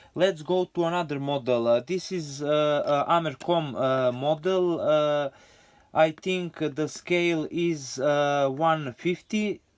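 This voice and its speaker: The speaker talks at a very slow pace with a Serbian accent and fairly even intonation. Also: man, fairly high pitch for a man. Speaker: scale model hobbyist. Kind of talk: show-and-tell video. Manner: halting, many fillers.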